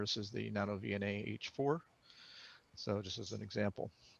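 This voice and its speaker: This American-accented voice carries audible vocal fry. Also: man, dry, close sound with no echo, quiet background. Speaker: engineer and amateur radio presenter. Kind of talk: technical presentation.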